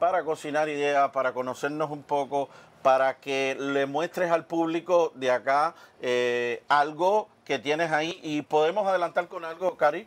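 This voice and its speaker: Pitch rises and falls in an ordinary way while the words come out at a fairly slow pace. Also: man. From Cuba, Oriente (eastern Cuba), countryside. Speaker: cooking show host. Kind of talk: casual cooking show chat. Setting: studio kitchen. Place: studio. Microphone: lapel.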